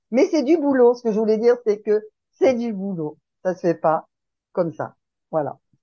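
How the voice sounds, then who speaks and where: The speech moves at a moderate pace, broken by long, frequent pauses, with big swings in loudness and very wide pitch swings. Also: woman, fairly high pitch for a woman. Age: 60s. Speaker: support group participant. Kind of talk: group sharing discussion.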